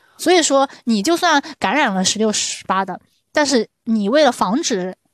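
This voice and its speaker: With an ordinary speaking voice, a woman talks at a moderate pace and fairly high pitch with lively intonation, against a quiet background in a dry, close sound with no echo. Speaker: podcast host. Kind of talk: casual chat.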